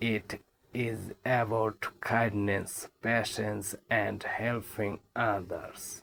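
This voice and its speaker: Speaking very slowly, a man keeps a medium pitch in a monotone, flat delivery. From Bangladesh. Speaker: auto-rickshaw driver, English teacher. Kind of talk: first-person story narration for English learners.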